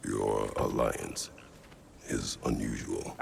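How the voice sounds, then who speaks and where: A man performs in a put-on character voice. Clear background noise is audible behind him. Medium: machinima. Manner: terse, blunt.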